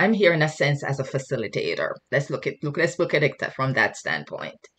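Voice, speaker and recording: With a Jamaican accent, a woman speaks at a fairly quick pace. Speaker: guest speaker, mental health worker. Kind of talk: sermon. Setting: video call. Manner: halting.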